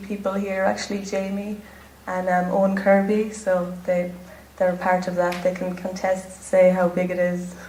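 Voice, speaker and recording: A woman with an Irish accent, medium pitch and monotone, flat intonation at a moderate pace, with audible room echo and noticeable background noise. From Ireland. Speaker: pageant contestant. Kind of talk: interview. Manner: natural, relaxed.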